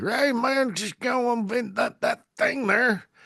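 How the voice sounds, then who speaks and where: In a put-on character voice pitched extremely high, a man talks at a fairly slow pace. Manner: laid-back, drawling.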